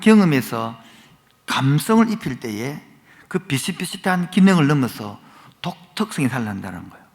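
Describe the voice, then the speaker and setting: A man talks at a fairly high pitch with very wide pitch swings. His pace is fairly slow. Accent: Gyeongsang. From Gyeongsang region, Korea. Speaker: guest preacher. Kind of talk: sermon. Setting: church. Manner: animated.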